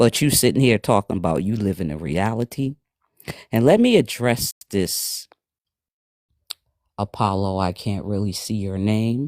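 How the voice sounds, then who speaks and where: Speech comes at a fairly slow pace, broken by long, frequent pauses. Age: 60s. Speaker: live stream participant. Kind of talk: heated debate.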